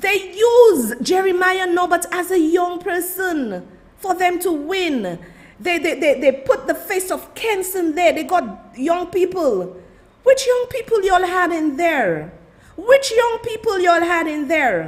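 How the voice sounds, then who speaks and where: Loud and animated, a woman talks fairly slowly at an extremely high pitch with lively intonation. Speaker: political commentator. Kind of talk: livestream commentary.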